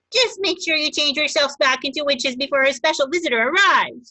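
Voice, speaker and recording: A female-sounding, put-on character voice sits high in pitch. It races along at a very fast pace. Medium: read story. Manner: cross, exasperated.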